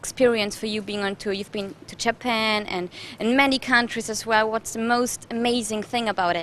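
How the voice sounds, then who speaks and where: In a German accent, a woman speaks at a moderate pace with a fairly high pitch. Her loudness swings widely. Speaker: TV presenter. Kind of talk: interview. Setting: TV show.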